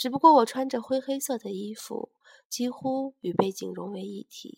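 Her voice sits high, with ordinary pitch variation, and the woman's recording sounds dry and close with no echo. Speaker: radio-style storytelling host. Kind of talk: reading aloud a first-person story.

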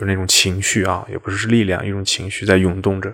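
His pitch sits fairly low. The man keeps a moderate pace. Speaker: Buddhist monastic and podcast host. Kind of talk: memorial monologue. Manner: low, subdued tone.

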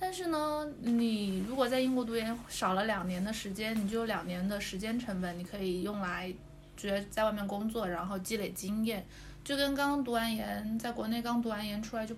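A woman's fairly high voice with ordinary pitch variation at a moderate pace, audible room echo and noticeable background noise. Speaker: former overseas student. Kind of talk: casual chat.

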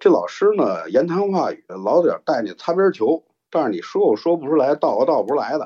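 Fairly quick speech in a Beijing accent. The sound is dry and close, with no echo. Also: man. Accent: Beijing Mandarin, heavy erhua. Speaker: storyteller. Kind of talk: storytelling. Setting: live online broadcast. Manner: relaxed, laid-back.

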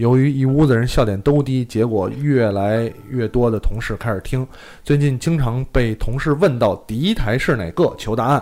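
A man with a dark, mellow tone speaks at a medium pitch with ordinary pitch variation. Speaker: podcast host. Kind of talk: casual chat. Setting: live-streamed studio recording. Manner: fast talker, animated.

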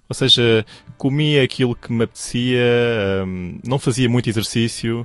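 A man speaks with a European Portuguese accent at a fairly slow pace, with music in the background. His pitch is medium, with ordinary variation. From Portugal. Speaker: radio newsreader. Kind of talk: interview. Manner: hesitant.

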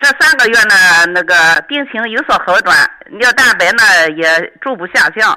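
An ordinary speaking voice from a woman, fairly high in pitch, with lively intonation and a moderate pace. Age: 60s. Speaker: radio call-in listener. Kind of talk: phone-in health consultation.

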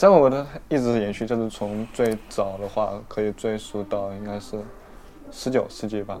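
Against noticeable background noise, a man speaks at a moderate pace in a fairly low voice with fairly even intonation. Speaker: sociology graduate student. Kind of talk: casual chat. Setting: restaurant cafe.

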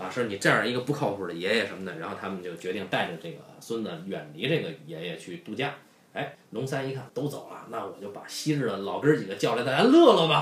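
A man talks very fast at a fairly low pitch, his pitch swinging very widely and his loudness rising and falling sharply. The room echoes audibly, and there is noticeable background noise. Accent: Beijing. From Beijing. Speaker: podcast host. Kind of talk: casual chat.

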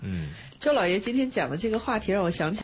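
A somewhat breathy woman's voice. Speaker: radio host. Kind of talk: radio talk show. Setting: studio.

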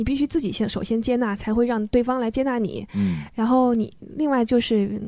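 Speaking at a fairly quick pace, a woman has a fairly high pitch and a dark, mellow tone. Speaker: former overseas student, children's book editor. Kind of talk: interview. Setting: studio.

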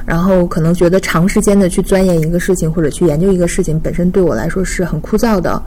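Over noticeable background noise and audible room echo, a woman talks at a very fast pace with hardly any pauses, her fairly low pitch held in fairly even intonation. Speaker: marketing professional. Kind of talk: casual chat.

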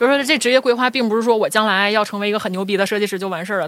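A woman speaks at a very fast pace. Her fairly high pitch shows ordinary pitch variation. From Northeast China, Shenyang. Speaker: designer, studio co-founder. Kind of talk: casual interview chat.

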